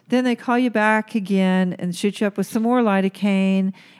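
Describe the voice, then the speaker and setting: An ordinary speaking voice from a woman with an American accent, medium in pitch with ordinary pitch variation, at a moderate pace. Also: very clean recording, silent background. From Oklahoma. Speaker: aesthetic nurse, podcast host. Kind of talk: casual chat.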